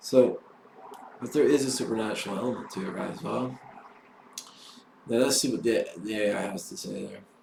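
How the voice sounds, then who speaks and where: A man's medium-pitched voice at a fairly quick pace, with long, frequent pauses, ordinary pitch variation, big swings in loudness, audible room echo and noticeable background noise. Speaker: vlogger. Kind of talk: casual monologue. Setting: solo camera recording. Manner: halting.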